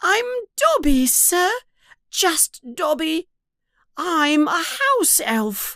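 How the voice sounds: A put-on character voice, pitched extremely high, with very wide swings in pitch. It moves at a very slow pace, broken by long, frequent pauses.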